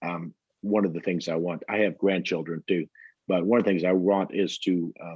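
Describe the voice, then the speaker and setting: Speaking at a moderate pace with fairly even intonation, a man in a Texan accent has a very deep, low pitch. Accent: Texan American English. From Texas. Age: 60s. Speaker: pilgrim and hiker. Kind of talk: interview. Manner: halting.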